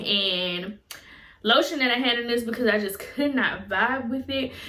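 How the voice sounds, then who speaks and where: Noticeable background noise fills the recording. A woman talks in a fairly high voice. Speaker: beauty and lifestyle YouTuber. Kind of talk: product review vlog.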